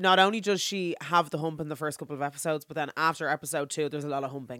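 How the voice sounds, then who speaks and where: On a very clean recording with a silent background, a woman with a very deep, low pitch talks at a very fast pace with ordinary pitch variation. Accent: Irish. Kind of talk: casual chat. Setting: recording studio.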